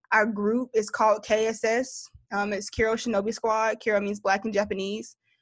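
A woman's fairly high voice with a Southern US accent, monotone and flat in intonation, at a moderate pace. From US South, Greensboro, North Carolina. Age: 20s. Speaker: content creator. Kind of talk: casual chat.

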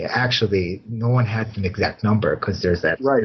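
A somewhat breathy man's voice, fairly low in pitch, with ordinary pitch variation and a moderate pace. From US Midwest, Chicago. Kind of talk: interview. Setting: video call.

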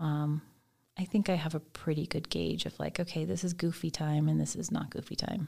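A woman with a very deep, low pitch speaks fairly quickly in a dark, mellow, somewhat breathy tone, with ordinary pitch variation. The recording is very clean, with a silent background. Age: 50s. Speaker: dance teacher and department chair. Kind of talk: casual chat. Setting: studio.

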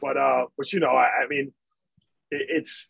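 An American accent at a fairly slow pace, in a dry, close sound with no echo. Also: man. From Michigan. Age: 30s. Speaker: basketball coach. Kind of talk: casual chat.

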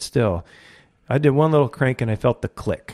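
Someone with an American accent talks very fast with ordinary pitch variation. The tone is dark and mellow, and the sound is dry and close with no echo. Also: man. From California, Ventura County. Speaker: fishing guide. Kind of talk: casual interview chat.

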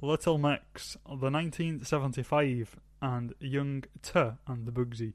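A man with a British accent speaks very slowly in a fairly high voice. The background is quiet. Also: fairly even intonation. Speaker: podcast co-host. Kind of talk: casual chat.

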